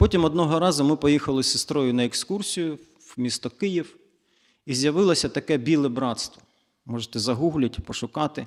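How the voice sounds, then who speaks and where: A man with an unremarkable speaking voice talks at a fairly quick pace and a fairly high pitch. His pitch varies in an ordinary way on a very clean recording with a silent background. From eastern Ukraine, Zaporizhzhia. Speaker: church guest speaker. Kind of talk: testimony.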